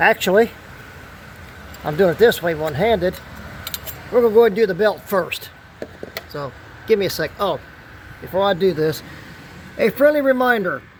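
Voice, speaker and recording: A man talks at a fairly quick pace in a high voice with lively intonation, pausing long and often. Noticeable background noise runs underneath. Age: 60s. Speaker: DIY auto mechanic YouTuber. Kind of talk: tutorial. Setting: outdoors. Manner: casual, conversational.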